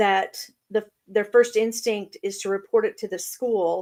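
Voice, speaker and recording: In an unremarkable speaking voice, a woman talks at a fairly slow pace, with fairly high pitch and fairly even intonation. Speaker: co-host of a talk show. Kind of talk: talk show hosting, conversational.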